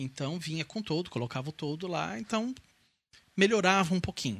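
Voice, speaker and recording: A man at a moderate pace in an ordinary speaking voice. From Brazil, Santo André (São Paulo). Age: 40s. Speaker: COVID survivor. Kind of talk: testimony.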